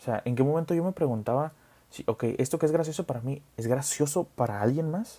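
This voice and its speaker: Fairly high-pitched male voice with a Mexican accent, somewhat breathy, dark and mellow in tone, moderate in pace, with lively intonation. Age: 20s. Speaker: podcast host, nurse. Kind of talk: casual monologue.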